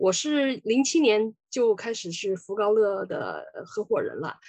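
Recorded dry and close with no echo, a woman with a fairly high pitch speaks with very wide pitch swings. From Sichuan, China. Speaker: lawyer. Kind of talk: lecture.

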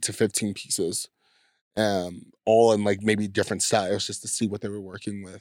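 With a Californian accent, a man speaks at a fairly quick pace, his fairly low pitch held in a monotone, flat intonation. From US West Coast, San Diego. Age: 20s. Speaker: podcast guest, creative artist. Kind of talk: casual interview, personal story. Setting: home studio in host's basement.

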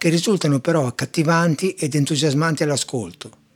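At a fairly quick clip, a normal speaking voice carries the words. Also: man. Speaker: classical music podcaster. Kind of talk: educational talk on music.

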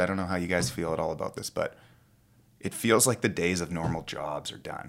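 Very fast speech from a man with a Canadian accent and a very deep, low pitch, in a very clean recording with a silent background. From western Canada (Kamloops, British Columbia interior). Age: 30s. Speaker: strength coach and photographer. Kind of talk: casual chat.

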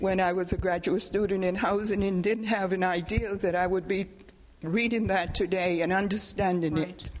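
Noticeable background noise sits behind a woman who speaks at a medium pitch with fairly even intonation. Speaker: audience member, housing specialist. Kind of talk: audience comment. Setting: library talk with audience.

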